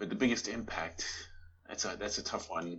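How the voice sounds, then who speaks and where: A man's voice with a slight South African accent. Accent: South African, subtle. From Johannesburg, South Africa. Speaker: Tai Chi teacher and artist. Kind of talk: casual interview chat. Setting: video call.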